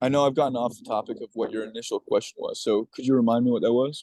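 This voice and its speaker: A man talks at a fairly quick pace. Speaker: movement training coach. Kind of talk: casual interview chat.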